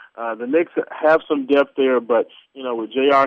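The man's intonation stays monotone and flat. He keeps up a fairly quick pace. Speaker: radio co-host, basketball analyst. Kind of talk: casual sports chat. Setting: phone call.

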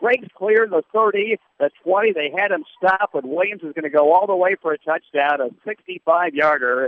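Barely pausing, a man talks at a high pitch with ordinary pitch variation. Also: moderate pace. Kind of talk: live commentary. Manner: brisk, animated play-by-play delivery; peppered with filler 'uh' pauses.

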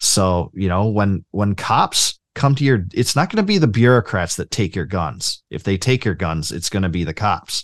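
A man with a plain, everyday voice talks at a moderate pace, fairly low in pitch with lively intonation. The sound is dry and close with no echo, over a quiet background. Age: 30s. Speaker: libertarian writer and author. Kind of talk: casual interview.

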